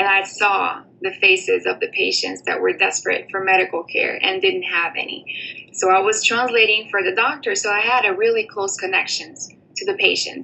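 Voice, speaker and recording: With a Portuguese accent, a woman speaks at a moderate pace against noticeable background noise. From Brazil, São Paulo state. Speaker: former college student, aspiring doctor. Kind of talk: personal testimony. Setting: remote recording from abroad.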